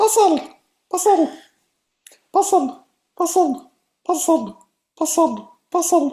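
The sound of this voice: In a put-on character voice pitched extremely high, the speaker goes at a fairly slow pace with long, frequent pauses.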